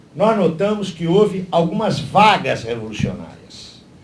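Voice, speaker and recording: Speech comes at a fairly slow pace. Room echo is audible. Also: man. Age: 60s. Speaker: party lecturer at a political seminar. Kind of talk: lecture.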